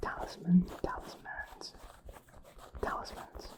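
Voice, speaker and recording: Someone whispers over noticeable background noise. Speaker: ASMR creator. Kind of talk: ASMR whispering. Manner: whispering.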